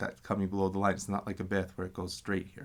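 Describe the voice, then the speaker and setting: A man speaks with a very deep, low voice. His intonation is flat and monotone. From Assyrian community, Urmia dialect family. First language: Assyrian Neo-Aramaic (Urmia dialect). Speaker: language teacher. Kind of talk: tutorial. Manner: slow, repetitive pronunciation drills.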